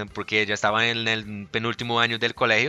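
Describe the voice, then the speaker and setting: Speaking with a Portuguese accent, a man of medium pitch has a bright, sharp tone. He goes at a fairly quick pace in a dry, close sound with no echo. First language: Portuguese (speaking Spanish). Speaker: podcast host. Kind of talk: casual chat. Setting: studio.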